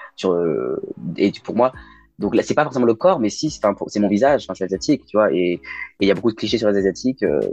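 A man with a fairly low pitch and some vocal fry speaks at a fairly quick pace. His intonation is lively. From Lyon, France (raised partly abroad, incl. China). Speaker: drag queen. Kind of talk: casual chat.

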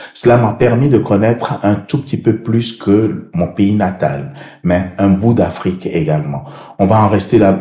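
Noticeable background noise behind a man's fairly low pitch. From Benin (Abomey). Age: 60s. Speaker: mayor. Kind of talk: interview.

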